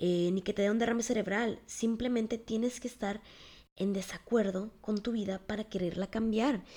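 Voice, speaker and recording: Her dark, mellow tone sits at a medium pitch as the woman talks at a moderate pace with fairly even intonation. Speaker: podcast host. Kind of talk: personal storytelling monologue. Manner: casual, conversational.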